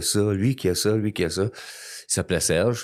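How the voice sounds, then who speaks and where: Someone with an ordinary speaking voice talks at a fairly slow pace. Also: man, very clean recording, silent background. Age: 60s. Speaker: recovering alcoholic guest. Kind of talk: testimony.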